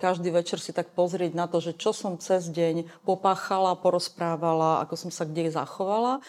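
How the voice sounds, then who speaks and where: A woman in a plain, everyday voice speaks with a fairly low pitch and fairly even intonation. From eastern Slovakia, Košice. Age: 50s. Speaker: LGBT activist. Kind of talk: interview.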